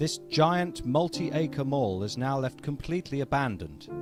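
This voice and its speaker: With music in the background, a man with a British accent and medium pitch talks at a fairly slow pace. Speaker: comedian, documentary maker. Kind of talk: improvised mock-documentary voice-over.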